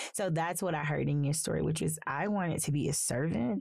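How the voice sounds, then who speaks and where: In a Southern US accent, a woman with a very deep, low pitch and vocal fry talks at a moderate pace with ordinary pitch variation. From US South, small-town South Carolina. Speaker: podcast host, social worker. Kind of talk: interview conversation. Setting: studio.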